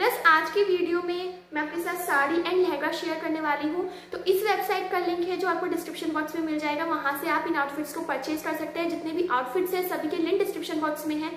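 This woman's pitch is extremely high. She talks at a fast pace with few pauses. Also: fairly even intonation.

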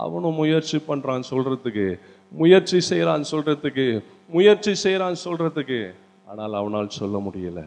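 Energetic in tone, a man speaks at a fairly high pitch with very wide pitch swings. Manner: energetic, exhortative, rousing the audience. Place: church. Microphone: handheld.

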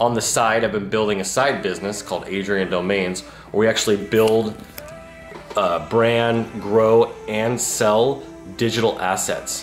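A man talks at a moderate pace and fairly low pitch with fairly even intonation, with audible room echo and faint music in the background. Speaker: entrepreneur vlogger. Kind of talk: casual vlog chat. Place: home room. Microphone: phone near.

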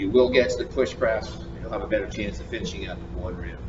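There is noticeable background noise. A man talks over it at a moderate pace. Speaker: fitness coach. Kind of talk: tutorial. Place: gym.

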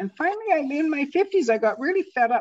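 At a moderate pace, a woman speaks in a slightly mellow tone.

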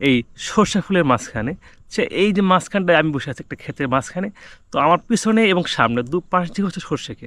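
The recording is very clean with a silent background. A man speaks at a high pitch with lively intonation. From Bangladesh, Manikganj. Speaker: travel vlogger. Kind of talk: vlog narration. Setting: outdoors in a mustard field. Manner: halting, many fillers.

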